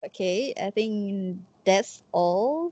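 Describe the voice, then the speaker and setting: In a dry, close sound with no echo and a quiet background, a woman speaks with a dark, mellow tone at a medium pitch. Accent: Malaysian. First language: Malay. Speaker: student interviewer. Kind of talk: interview.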